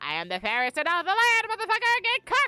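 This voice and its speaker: An extremely high-pitched, put-on character voice rattles along at a very fast pace. Faint music plays in the background. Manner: cackling, boastful.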